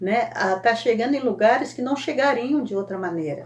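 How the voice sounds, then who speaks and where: A woman with a plain, everyday voice and fairly high pitch speaks at a moderate pace with lively intonation. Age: 60s. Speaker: Sunday school teacher. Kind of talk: Bible lesson teaching. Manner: conversational, frequent self-corrections.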